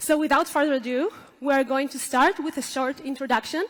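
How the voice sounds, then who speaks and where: A woman with a non-native accent talks at a moderate pace in a high pitch, with ordinary pitch variation. Noticeable background noise runs underneath. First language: not English. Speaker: software team leader. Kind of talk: conference talk. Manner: hesitant with fillers.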